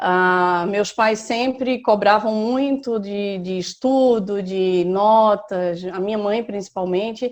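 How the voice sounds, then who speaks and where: A woman talks with a fairly high pitch and ordinary pitch variation. The background is quiet. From Recife, northeastern Brazil. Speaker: civil engineer on sabbatical. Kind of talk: interview, personal life story.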